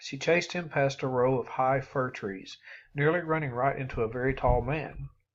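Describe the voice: What is heard is plain reading aloud.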